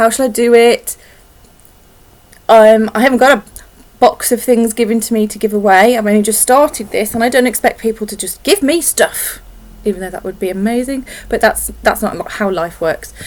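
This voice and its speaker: A woman mumbles at a moderate pace with a fairly high pitch and ordinary pitch variation. Her loudness swings widely. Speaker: knitting podcaster. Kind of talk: casual vlog chat. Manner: mumbling.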